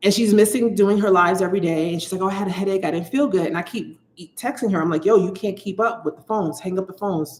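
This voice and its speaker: A woman speaks at a very fast pace with hardly any pauses. Her pitch is medium, with ordinary variation. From United States. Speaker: psychic. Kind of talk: live stream chat. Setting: livestream. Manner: animated.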